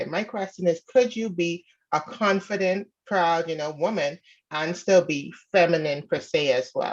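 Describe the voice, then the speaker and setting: Her pace is moderate. The woman's voice sits fairly low in pitch. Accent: slight Bahamian. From Bahamas. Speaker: caller seeking advice. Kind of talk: casual advice call.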